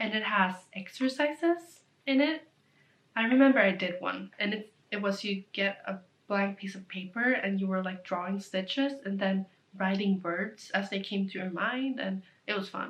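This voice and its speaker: Speaking at a moderate pace, a woman uses a medium pitch and ordinary pitch variation in a Swedish accent. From Sweden. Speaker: knitting vlogger. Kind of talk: casual chat. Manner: rambling, fillers.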